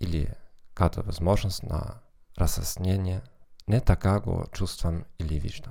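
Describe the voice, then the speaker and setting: A man's very deep, low voice with a dark, mellow tone, a very slow pace and ordinary pitch variation, in a very clean recording with a silent background. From Germany. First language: German (speaking Bulgarian). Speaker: psychologist. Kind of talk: monologue podcast.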